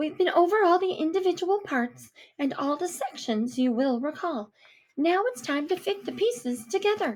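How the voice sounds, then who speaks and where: A woman uses a put-on character voice pitched high. Her pace is moderate. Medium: read story. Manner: bright, instructive.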